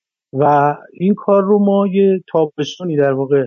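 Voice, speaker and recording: He talks at a moderate pace, with ordinary pitch variation. The man has a plain, everyday voice. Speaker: screenwriter. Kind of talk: interview.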